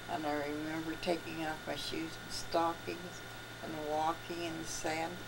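A woman speaks at a moderate pace with low pitch, vocal fry and a monotone, flat intonation. Background noise is clearly audible.

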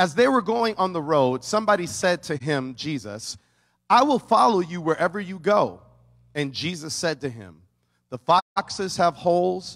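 The man keeps a moderate speed, and the setting is quiet behind him. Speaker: pastor. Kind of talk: sermon. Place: church. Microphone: handheld.

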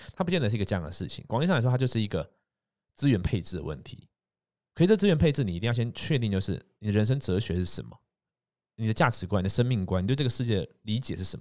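A man's fairly low voice with a Taiwanese accent, very wide pitch swings and a very fast pace. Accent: Taiwanese Mandarin. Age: 30s. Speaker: podcast host and entrepreneur. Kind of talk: casual monologue. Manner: hesitant, many fillers.

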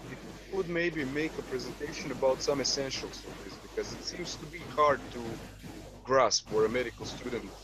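A man with a Croatian accent at a fairly quick pace, dry sound with no echo, noticeable background noise. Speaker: medical student; panel member. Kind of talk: casual chat. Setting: video call. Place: home room. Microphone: video call.

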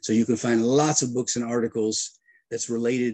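A man with an American accent speaks at a moderate pace. His tone is dark and mellow against a quiet background. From United States. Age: 60s. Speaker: retired air force colonel and leadership lecturer; interview guest. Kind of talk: interview. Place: home room. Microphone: video call.

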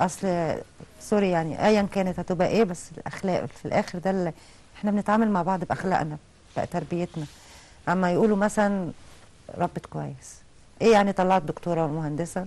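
At a fairly quick pace, a woman of medium pitch speaks with fairly even intonation and a dark, mellow tone. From Egypt. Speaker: insurance company deputy manager and mother; interview guest. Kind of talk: TV talk show interview. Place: studio. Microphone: lapel.

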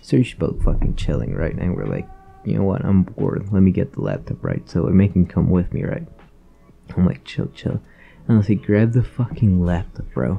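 Music plays in the background as a man with a very deep, low pitch speaks at a fairly quick pace with lively intonation. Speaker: YouTuber. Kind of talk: angry profane rant about hating fish, casual commentary. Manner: animated, ranting, loud and exasperated, swearing constantly; rapid, repetitive, filler-heavy ("you know", "bro").

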